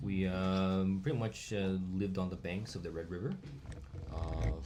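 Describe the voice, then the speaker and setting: Amid audible room echo, a man with a very deep, low pitch and a dark, mellow tone speaks at a moderate pace with ordinary pitch variation. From Vietnam (Hanoi), partly raised in Virginia, US. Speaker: podcast guest, international student. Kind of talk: casual chat.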